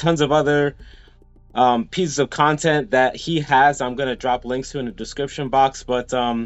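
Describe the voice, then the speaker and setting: Faint music plays behind a man speaking at a moderate pace with fairly even intonation. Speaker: interview host. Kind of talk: interview intro. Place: home room. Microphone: video call.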